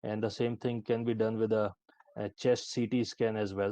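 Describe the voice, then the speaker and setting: Here a man talks at a moderate pace in a fairly low pitch, his tone dark and mellow. The sound is dry and close, without echo. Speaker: AI expert speaker at healthcare conference. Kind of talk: conference presentation with demo.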